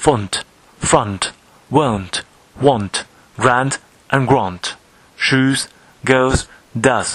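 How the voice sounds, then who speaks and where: A man speaks very slowly at a medium pitch, with ordinary pitch variation, very even loudness, long and frequent pauses, and noticeable background noise. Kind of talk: poetry reading.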